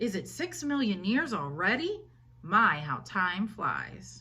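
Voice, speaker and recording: A put-on character voice at a middle pitch is raised and projected. The pace is fairly slow. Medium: read story. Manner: muttering, suspicious.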